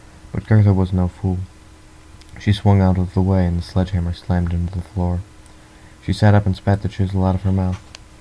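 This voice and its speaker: Against noticeable background noise, a man with a very deep, low pitch speaks in monotone, flat intonation. His pace is fairly quick, with long, frequent pauses. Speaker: audiobook reader. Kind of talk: read story.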